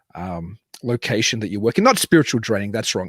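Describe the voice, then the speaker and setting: A man with an American accent speaks at a very fast pace in a fairly low pitch with lively intonation, in a dry, close sound with no echo. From Australia, Sydney. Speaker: paranormal podcast host. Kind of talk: casual chat; reading a prepared guest introduction. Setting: live show from a cabin.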